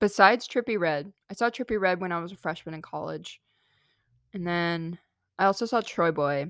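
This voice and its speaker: In a very clean recording with a silent background and a dry, close sound with no echo, a woman with a fairly low pitch speaks at a moderate pace, showing ordinary pitch variation and big swings in loudness. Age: 20s. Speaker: podcast host, college student. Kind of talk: casual monologue. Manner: animated.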